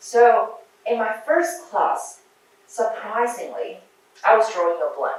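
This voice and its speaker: The speaker talks at a fairly slow pace with a Chinese accent amid noticeable background noise and audible room echo. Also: woman. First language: Mandarin Chinese. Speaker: surgeon and researcher giving a talk to medical students. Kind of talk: lecture.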